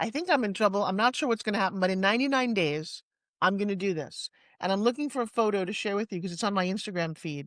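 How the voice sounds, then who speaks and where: Against a quiet background, a woman with a New York accent talks at a very fast pace, her tone animated, her intonation lively and her pitch medium. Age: 60s. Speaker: fitness entrepreneur and pitch coach. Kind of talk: interview conversation. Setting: studio.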